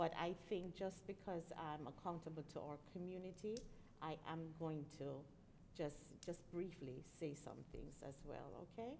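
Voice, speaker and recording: A woman speaks at a fairly slow pace in a fairly low voice with ordinary pitch variation. Her tone is dark and mellow. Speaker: school board member. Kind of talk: public meeting discussion. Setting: school board meeting. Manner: firm and to the point.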